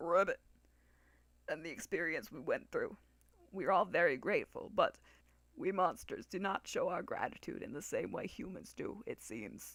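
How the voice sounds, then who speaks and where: A man's croaky, put-on character voice at a moderate pace, broken by long, frequent pauses. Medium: read story. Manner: punctuates speech with croaked ribbits.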